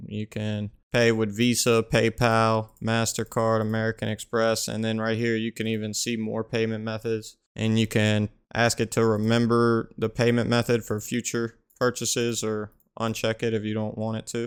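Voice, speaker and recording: On a very clean recording with a silent background, a man with a Louisiana accent speaks in a medium pitch at a moderate pace with hardly any pauses and monotone, flat intonation. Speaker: gaming YouTuber. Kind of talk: tutorial. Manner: casual.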